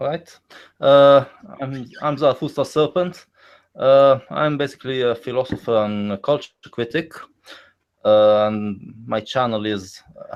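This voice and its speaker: With an Israeli accent, a man talks at a medium pitch with ordinary pitch variation. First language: Hebrew. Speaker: philosopher and culture critic. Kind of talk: casual podcast discussion. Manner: halting, many fillers.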